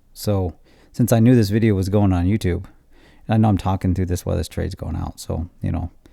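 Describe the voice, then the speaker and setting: The recording is very clean with a silent background, and the speech moves at a very fast pace with fairly even intonation. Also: man, very deep, low pitch for a man. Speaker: trading educator. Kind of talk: casual monologue. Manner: halting, many fillers.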